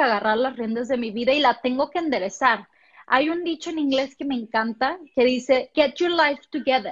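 With a Mexican accent, a woman talks in a high voice at a moderate pace. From Mexico, Puerto Vallarta. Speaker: motivational speaker. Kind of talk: interview.

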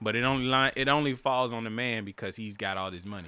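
Speaking very fast in an animated, bright and sharp tone, a man with a medium-pitched voice comes through on a very clean recording with a silent background. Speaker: podcast co-host. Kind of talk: casual profane comedic banter between co-hosts. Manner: loud, animated, joking; rapid, crude, playful.

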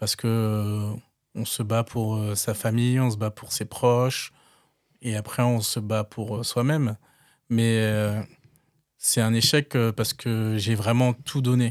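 On a very clean recording with a silent background and a dry, close sound with no echo, a man speaks very slowly in a flat monotone with long, frequent pauses. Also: medium pitch for a man. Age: 30s. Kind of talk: interview testimony. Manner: hesitant, with fillers and repetitions.

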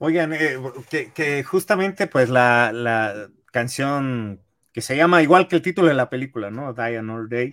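In an ordinary speaking voice, a man of medium pitch talks at a fairly slow pace with lively intonation, the recording very clean with a silent background and a dry, close sound with no echo. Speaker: podcast co-host. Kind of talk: casual chat.

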